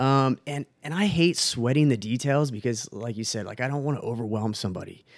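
In a plain, everyday voice, a man talks at a fairly quick pace with hardly any pauses, medium pitch and ordinary pitch variation. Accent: American. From Texas. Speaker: skydiver and fitness enthusiast. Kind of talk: casual chat.

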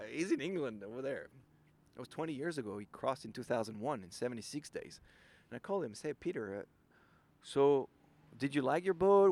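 A man with a French accent speaks at a medium pitch in a dark, mellow tone. His intonation is lively, his pace moderate, and the recording very clean with a silent background. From France. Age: 40s. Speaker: ocean kayaker. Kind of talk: interview.

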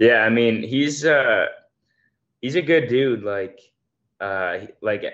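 At a moderate pace, a man with an unremarkable speaking voice talks with ordinary pitch variation against a quiet background. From Montreal, Canada. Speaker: college football player. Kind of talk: casual interview.

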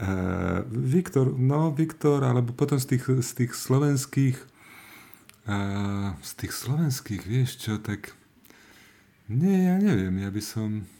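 A man with a dark, mellow tone speaks very slowly, his intonation lively. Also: medium pitch for a man. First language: not Slovak (speaking Slovak). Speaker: podcast team member, social media manager. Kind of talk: casual chat.

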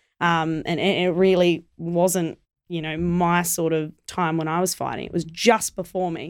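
Speaking with an Australian accent, a woman has a fairly low voice. Her pace is fairly slow and her intonation monotone and flat. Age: 20s. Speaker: Muay Thai fighter and promoter. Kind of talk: casual interview chat.

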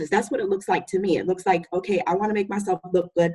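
A somewhat breathy woman with an American accent, medium pitch and ordinary pitch variation. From US, military family, raised partly in Utica. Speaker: college program director. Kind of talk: casual discussion.

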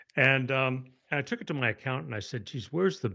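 Lively in intonation, a man speaks at a fairly quick pace. He has a slight Canadian accent. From Canada. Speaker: author and speaker. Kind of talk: podcast interview.

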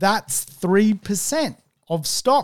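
With an Australian accent, a man talks very slowly, his intonation lively. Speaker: property investment podcast host. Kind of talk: solo podcast monologue. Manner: slow, listeners advised to speed up.

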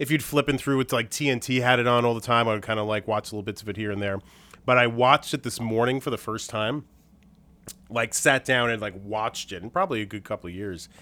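Very fast and bright with a sharp tone, a man talks at a medium pitch with ordinary pitch variation. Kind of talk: casual chat.

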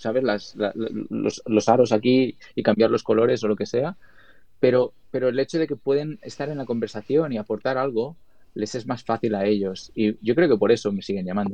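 With a Spanish accent, a man of medium pitch talks at a moderate pace with ordinary pitch variation. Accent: Spanish accent when speaking English. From Spain. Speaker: video editor and colorist. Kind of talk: interview.

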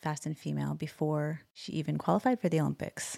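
A woman speaks with a Canadian accent. Her pace is very fast. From Alberta, Canada. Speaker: podcast co-host. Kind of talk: interview conversation. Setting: video call.

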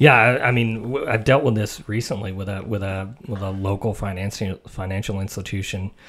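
With an American accent, a man speaks at a fairly low pitch and a fairly quick pace, with fairly even intonation and hardly any pauses, on a very clean recording with a silent background. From US South, Tennessee (Mount Juliet). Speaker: IT network practice director. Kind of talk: casual podcast interview. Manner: halting, many fillers.

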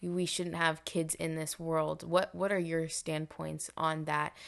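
A woman with a Canadian accent has a normal speaking voice, pitched fairly low. She speaks at a fairly slow pace against a quiet background. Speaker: podcast host. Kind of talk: casual interview.

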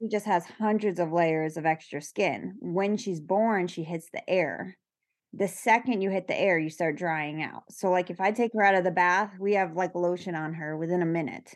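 A woman with an American accent and an unremarkable speaking voice, fairly low in pitch, with ordinary pitch variation, a moderate pace and a quiet background. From New York. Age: 30s. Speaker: parent of a child with a rare skin condition. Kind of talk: interview.

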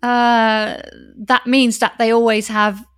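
On a very clean recording with a silent background, a woman speaks at a high pitch. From Netherlands. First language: Dutch. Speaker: wedding officiant. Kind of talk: casual interview. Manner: enthusiastic, cheerful.

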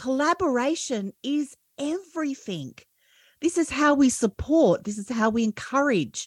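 Lively in her intonation, a woman with an Australian accent speaks at a fairly slow pace and a high pitch, with a dry, close sound and no echo. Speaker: podcast coach. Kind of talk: interview. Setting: video call.

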